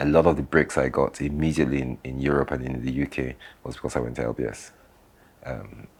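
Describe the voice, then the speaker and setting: A man talks at a very fast pace with a very deep, low pitch. His delivery is monotone and flat, with vocal fry. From London, England (70s), later Nigeria. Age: 60s. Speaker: business founder and architect. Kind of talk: interview storytelling. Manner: hesitant, repeats words.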